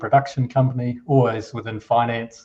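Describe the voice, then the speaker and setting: A man's dark, mellow, somewhat breathy voice with a New Zealand accent and monotone, flat intonation. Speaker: finance executive, company co-founder. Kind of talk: interview conversation. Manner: hesitant, many repetitions and fillers.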